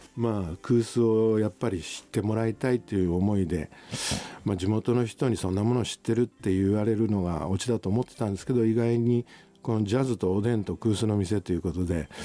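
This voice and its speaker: Fairly low in pitch with ordinary variation, a man speaks at a fairly quick pace in a dark, mellow tone. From Tokyo, Japan. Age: 60s. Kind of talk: casual interview chat. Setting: airport lounge studio.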